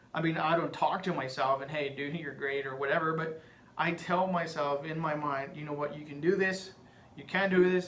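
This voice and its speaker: A man's fairly high-pitched voice at a moderate pace, with fairly even intonation, big swings in loudness, audible room echo and noticeable background noise. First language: Spanish. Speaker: podcaster. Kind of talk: casual monologue.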